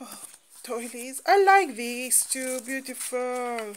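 Noticeable background noise behind a woman's high voice. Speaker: craft vlogger. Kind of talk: casual chat. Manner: animated.

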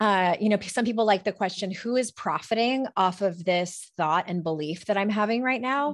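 Moderate pace with hardly any pauses, very even loudness and ordinary pitch variation over a quiet background. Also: woman, medium pitch for a woman. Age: 40s. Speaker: life coach and author; life coach. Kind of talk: interview conversation. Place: home room. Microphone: studio mic.

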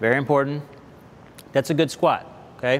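A man speaks with fairly even intonation. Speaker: fitness instructor. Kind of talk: exercise class instruction. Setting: television studio class. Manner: clear, instructional, repeating 'okay?' to check in; calm, patient, encouraging. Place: hall.

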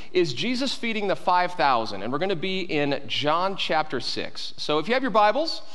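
A man at a moderate pace, with hardly any pauses and very wide pitch swings. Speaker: pastor. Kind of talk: sermon. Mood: light, joking. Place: church.

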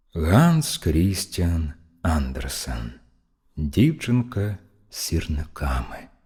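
Very deep and low in pitch, a man speaks in a dark, mellow, calm tone that is somewhat breathy, his intonation lively. He goes at a very slow pace with long, frequent pauses, in a very clean recording with a silent background. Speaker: professional narrator. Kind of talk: fairy tale reading.

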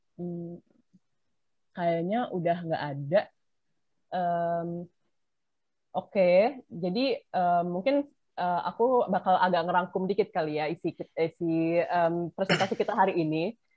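A woman's fairly low voice, fairly slow with long, frequent pauses, dry and echo-free over a quiet background. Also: ordinary pitch variation. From Indonesia. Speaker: webinar moderator. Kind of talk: moderating Q&A. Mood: relaxed, friendly, casual Indonesian. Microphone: video call.

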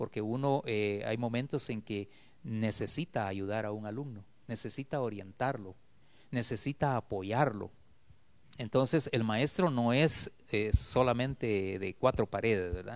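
Speaking at a fairly slow pace, a man shows ordinary pitch variation. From Guatemala, Esquipulas; Guatemala. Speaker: retired teacher and poet; retired teacher, poet. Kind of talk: interview. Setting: TV studio. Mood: warm, reflective. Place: studio. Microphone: handheld.

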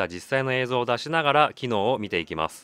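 An ordinary speaking voice from a man at medium pitch, with lively intonation. The sound is dry and close, with no echo. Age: 40s. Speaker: YouTuber reviewing camera gear on station walks. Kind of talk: post-recorded voice-over narration of product review.

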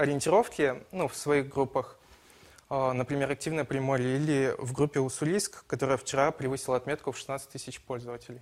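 A man speaks with fairly even intonation and a fairly high pitch. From Ussuriysk, Primorsky Krai; Primorsky Krai. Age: 20s. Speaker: student, election candidate; election candidate. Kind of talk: political debate. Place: studio. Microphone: lapel.

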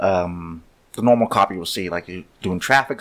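Fairly low in pitch, this man has a normal speaking voice with fairly even intonation. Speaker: podcast host, former police officer. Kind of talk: casual chat.

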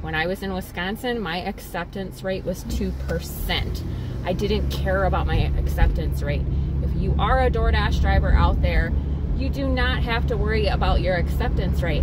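Loud background noise sits under a woman's voice, which has a dry sound with no echo. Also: moderate pace. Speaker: delivery driver vlogger. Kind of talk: casual vlog chat. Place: car. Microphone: phone near.

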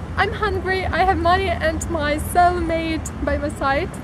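A woman speaks over noticeable background noise, the sound dry with no echo. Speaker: vlogger. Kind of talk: casual vlog chat. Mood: cheerful, excited. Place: garden. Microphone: phone near.

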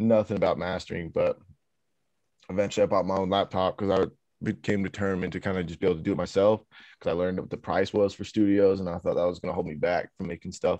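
In an American accent, a man talks very fast in a very deep, low, dark and mellow voice. His intonation is monotone and flat, against a quiet background. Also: dry sound with no echo. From Utah, US (Sandy, near Salt Lake City). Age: 20s. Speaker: rapper and beat maker. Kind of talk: interview. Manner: casual, filler-heavy. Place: home room. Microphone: studio mic.

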